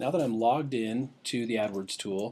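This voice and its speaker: Speaking at a fairly quick pace, a man uses an unremarkable speaking voice at medium pitch with fairly even intonation. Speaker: internet marketing coach. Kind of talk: tutorial. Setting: webinar screen recording.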